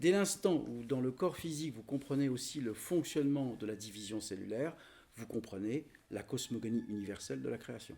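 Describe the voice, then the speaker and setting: A man's voice has a dark, mellow tone and sits at a medium pitch. His intonation is lively. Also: moderate pace. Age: 60s. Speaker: spiritual teacher. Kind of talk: spiritual teaching talk. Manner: halting.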